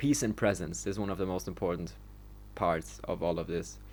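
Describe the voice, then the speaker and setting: Very fast and full of vocal fry, a man's voice swings very widely in pitch. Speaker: solo podcaster. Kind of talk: solo monologue podcast, reading stats and commenting. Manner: halting, many false starts and fillers.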